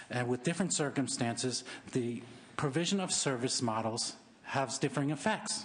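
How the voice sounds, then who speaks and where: With an American accent, a man talks at a fairly quick pace in a medium, somewhat breathy voice with ordinary pitch variation. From San Francisco, California. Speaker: neighborhood activist. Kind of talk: public testimony. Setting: legislative committee hearing.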